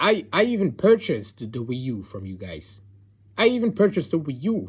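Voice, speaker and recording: A man speaks at a moderate pace with a somewhat breathy voice. His pitch swings very widely. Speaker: gaming commentator. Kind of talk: rant. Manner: soft-spoken.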